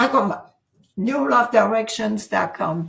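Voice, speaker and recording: A woman speaks with a French accent at a fairly high pitch. Her intonation is lively and her voice somewhat breathy. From France. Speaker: author and transformation coach. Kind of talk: interview.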